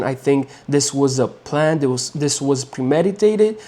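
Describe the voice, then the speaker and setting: A man speaks at a moderate pace. His voice sits fairly high. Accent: Romanian. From Romania. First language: Romanian. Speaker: MMA commentator, YouTuber. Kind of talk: opinion monologue. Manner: halting, repeats words; animated.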